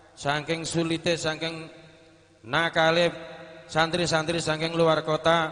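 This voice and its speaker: Over noticeable background noise, a man talks at a fairly slow pace in a fairly high pitch. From Central Java. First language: Javanese (speaking Indonesian). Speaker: Islamic boarding school alumnus representative. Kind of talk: formal welcome speech. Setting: reunion gathering with audience.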